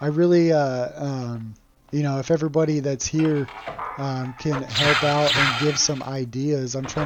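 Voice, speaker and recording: Background noise is noticeable. A man with a fairly high pitch speaks with fairly even intonation. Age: 30s. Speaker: video game streamer. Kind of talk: gameplay livestream commentary. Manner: monotone.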